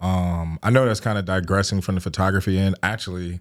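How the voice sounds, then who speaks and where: Over a very clean recording with a silent background, a man with a very deep, low pitch talks in a flat monotone at a moderate pace. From Virginia, Richmond area. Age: 30s. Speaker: photographer. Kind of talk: casual chat. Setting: studio.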